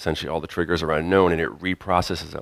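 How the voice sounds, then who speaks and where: The recording is very clean, with a silent background and a dry, close sound with no echo. A man speaks with a very deep, low pitch. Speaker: conference speaker. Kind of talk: technical conference presentation. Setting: conference stage with audience. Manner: fast; loud.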